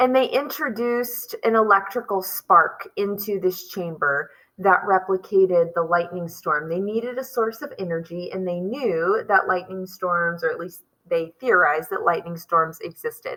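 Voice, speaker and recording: With hardly any pauses, a woman talks at a moderate pace in a bright, sharp tone, her medium pitch showing ordinary variation. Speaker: teacher. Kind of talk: lecture. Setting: school. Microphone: poor audio quality.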